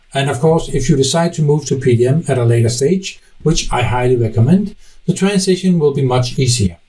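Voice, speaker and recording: This man has a Danish accent and a fairly high pitch, speaking at a fairly quick pace with lively intonation. His tone is dark and mellow and somewhat breathy. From Denmark. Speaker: software technical specialist. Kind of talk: conference presentation.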